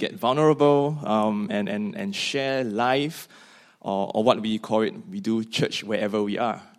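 A man with a Singaporean accent speaks fairly slowly. His pitch is medium. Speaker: seminary student. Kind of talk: panel conversation.

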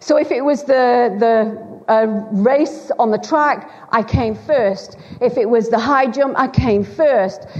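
Speaking very slowly with a Lancashire accent, a woman with a high pitch and ordinary pitch variation keeps her loudness very even while audible room echo surrounds her. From Bolton, Greater Manchester, northern England. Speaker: preacher. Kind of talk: sermon. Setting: church.

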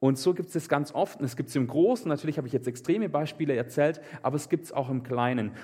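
Somewhat breathy and animated, a man with a fairly high pitch speaks at a very fast pace with ordinary pitch variation. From southern Germany, Swabian Alb (Meßstetten). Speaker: preacher. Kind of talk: sermon. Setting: live church service, also livestreamed.

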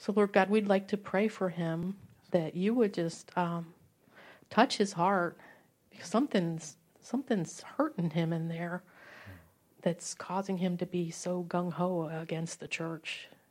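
A woman with an American accent speaks at a fairly slow pace in a normal speaking voice, her fairly low pitch showing ordinary variation, on a very clean recording with a silent background. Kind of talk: fervent prayer. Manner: earnest, pleading.

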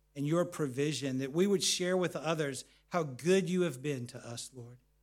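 An unremarkable speaking voice from a man at a moderate pace, with ordinary pitch variation. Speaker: pastor. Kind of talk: sermon ending in a fervent closing prayer. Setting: church. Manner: earnest, pleading, heartfelt.

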